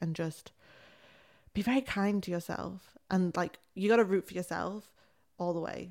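On a very clean recording with a silent background, a woman with an English accent talks at a medium pitch in a monotone, flat intonation. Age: 20s. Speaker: creative coach. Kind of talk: casual chat. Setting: face to face at home. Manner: fast.

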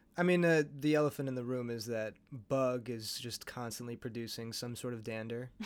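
Here a man speaks in a normal speaking voice at a medium pitch. His pace is fairly quick, with ordinary pitch variation. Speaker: host's partner. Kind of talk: casual chat.

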